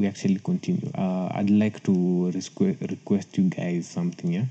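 A man talks in a dark, mellow tone with an East African accent. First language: Swahili. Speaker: podcast host. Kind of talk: casual solo podcast talk. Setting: solo recording. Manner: halting, many fillers and repeats.

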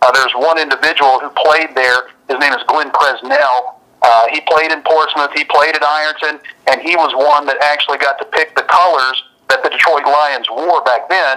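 A man with an American accent speaks in a normal speaking voice at a moderate pace, his fairly high pitch carried on fairly even intonation. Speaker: radio sports announcer. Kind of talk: interview.

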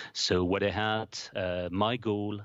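This man has a French accent and a fairly low pitch. His intonation is monotone and flat. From France, Paris. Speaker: UX design executive. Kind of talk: interview. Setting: studio. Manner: halting, many fillers.

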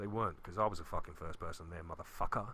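In a London accent, a voice with a bright, sharp tone rattles along at a very fast pace with lively intonation. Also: man. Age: 30s. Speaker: podcast host. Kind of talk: casual chat.

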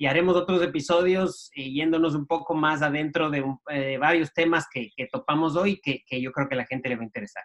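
In a dry, close sound with no echo, a man with an ordinary speaking voice talks fairly quickly at a fairly high pitch, with hardly any pauses. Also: ordinary pitch variation. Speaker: podcast co-host. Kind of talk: interview.

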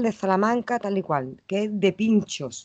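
A woman with an Andalusian accent, medium in pitch and animated in tone. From Andalusia, Los Palacios (Seville). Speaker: podcast co-host. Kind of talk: casual chat.

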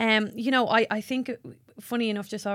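A woman with an Irish accent speaks at a very fast pace in a monotone, flat intonation. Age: 20s. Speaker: podcast host and makeup artist. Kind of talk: casual chat.

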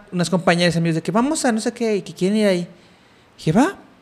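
Very fast and with lively intonation, a man delivers his words. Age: 30s. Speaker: podcast host. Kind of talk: casual chat.

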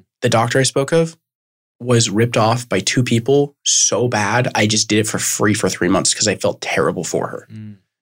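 An ordinary speaking voice from a man, moving at a moderate pace with ordinary pitch variation. His loudness swings widely from moment to moment. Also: medium pitch for a man. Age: 20s. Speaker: marketing agency owner. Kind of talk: casual interview.

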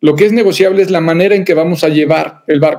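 A man at a high pitch and a fairly quick pace, with ordinary pitch variation. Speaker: psychologist, organizational culture expert. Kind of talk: interview conversation.

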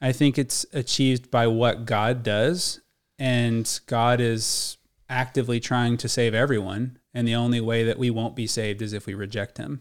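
In a very clean recording with a silent background, a man with an unremarkable speaking voice talks at a moderate pace. His pitch is medium and his intonation fairly even. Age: 30s. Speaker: podcast co-host discussing faith. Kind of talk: casual faith discussion.

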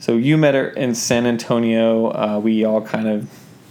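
Here a man with an ordinary speaking voice and medium pitch talks at a fairly slow pace. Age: 20s. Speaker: podcast co-host, operations manager at a clothing company. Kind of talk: casual chat. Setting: home recording.

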